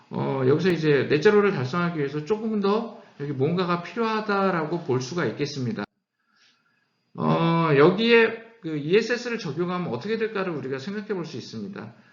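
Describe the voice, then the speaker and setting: Lively intonation at a fairly quick pace. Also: man, high pitch for a man. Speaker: company CEO giving lecture. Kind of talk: lecture. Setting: online lecture. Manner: speeding up, hurried.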